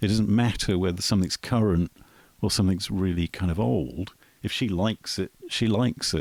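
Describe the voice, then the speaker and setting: Vocal fry runs through a voice with ordinary pitch variation, very even loudness, and a dry, close sound with no echo. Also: man, very deep, low pitch for a man, moderate pace. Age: 50s. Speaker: musician. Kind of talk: casual interview chat. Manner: hesitant with fillers.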